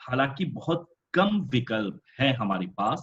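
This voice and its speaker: Somewhat breathy, a man talks with very wide pitch swings. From Mauritius. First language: French (speaking Hindi). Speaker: professor chairing a webinar. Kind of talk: webinar chair's summary remarks. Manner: hesitant, frequent filler sounds.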